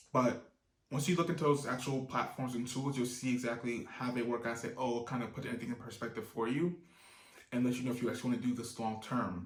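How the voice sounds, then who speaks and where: A man talks at a very fast pace in a medium pitch. His voice is somewhat breathy, with fairly even intonation. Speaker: online business youtuber. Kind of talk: tutorial. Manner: casual, with fillers.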